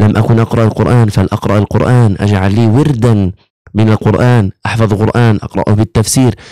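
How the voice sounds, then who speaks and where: Over a quiet background, a man speaks at a fairly slow pace. His tone is dark and mellow. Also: dry sound with no echo. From Gaza, Palestine; Palestine. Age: 20s. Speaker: imam and Quran teacher, medical student; imam, Quran teacher. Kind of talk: religious talk interview. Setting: studio. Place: studio. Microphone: studio mic.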